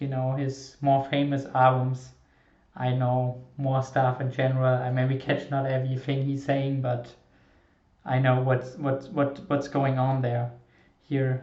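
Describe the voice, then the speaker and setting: A man with a non-native accent speaks at a very slow pace, somewhat breathy, at a medium pitch. His intonation is monotone and flat, broken by long, frequent pauses. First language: not English. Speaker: music reaction YouTuber. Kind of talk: reaction video commentary. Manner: halting, many repetitions and fillers.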